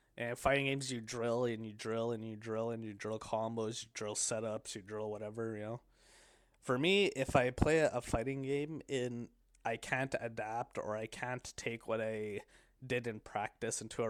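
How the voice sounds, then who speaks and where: In a very clean recording with a silent background, a man with a medium pitch talks at a moderate pace with fairly even intonation. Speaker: streamer / solo podcaster. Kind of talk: casual monologue. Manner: halting, many fillers and restarts.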